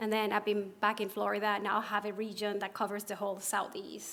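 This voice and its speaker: Fairly high female speech with a Spanish accent at a moderate pace, on a very clean recording with a silent background. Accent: Spanish accent, noticeable. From Puerto Rico. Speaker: pharmacist and association officer. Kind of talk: conference presentation. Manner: hesitant, with fillers and repetitions.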